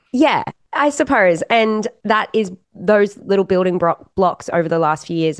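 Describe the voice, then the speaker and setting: A woman with an Australian accent talks over a quiet background. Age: young. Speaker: country-pop singer. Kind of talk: casual interview.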